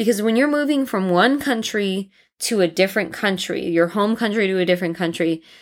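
A woman speaks with an American accent at a medium pitch and a moderate pace in a very clean recording with a silent background. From United States. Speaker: podcast host. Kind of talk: personal monologue.

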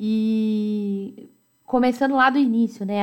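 With fairly even intonation, the speaker uses a normal speaking voice. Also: woman. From Americana, São Paulo state, Brazil. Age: 20s. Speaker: podcast host. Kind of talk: personal storytelling monologue.

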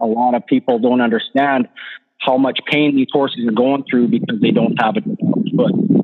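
A man with a plain, everyday voice talks at a fairly quick pace, his fairly high pitch rising and falling in lively intonation. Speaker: farrier. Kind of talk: casual chat.

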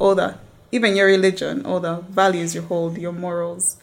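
A woman's normal speaking voice at medium pitch and a moderate pace. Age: 20s. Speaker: lawyer. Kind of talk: casual chat.

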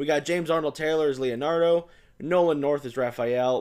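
Speaking at a fairly quick pace, this is a man. His pitch runs fairly high. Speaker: film podcast host. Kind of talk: casual chat. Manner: animated, laughs often.

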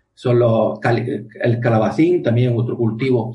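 The man's voice is medium in pitch, somewhat breathy, with a dark, mellow tone. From Spain, Andalusia (Almería province). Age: 40s. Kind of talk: interview.

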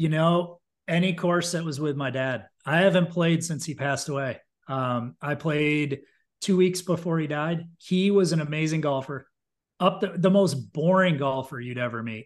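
Heard against a quiet background, an unremarkable speaking voice with an American accent shows ordinary pitch variation. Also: man, fairly high pitch for a man, moderate pace. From upstate New York. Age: 40s. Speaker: marketing executive. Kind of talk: casual chat.

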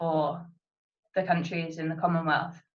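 A woman speaks with a fairly low pitch. Her intonation is flat and monotone. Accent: British. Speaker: podcast host. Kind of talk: casual chat.

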